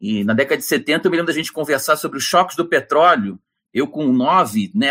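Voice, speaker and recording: A man with a fairly high pitch speaks with vocal fry and very wide swings in pitch. The recording is very clean, with a silent background. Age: 50s. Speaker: professor, energy researcher. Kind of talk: interview. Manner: animated.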